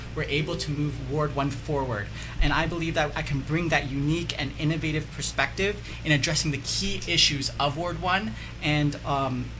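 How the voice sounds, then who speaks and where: A man's moderate-paced speech carries audible room echo, with noticeable background noise underneath. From Canada, Mississauga. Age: young. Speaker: political candidate. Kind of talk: radio interview, campaign pitch.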